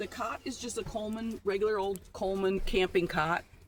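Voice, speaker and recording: A woman speaks in an ordinary speaking voice, fairly high in pitch, with ordinary pitch variation. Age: 60s. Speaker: van camper. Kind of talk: casual chat.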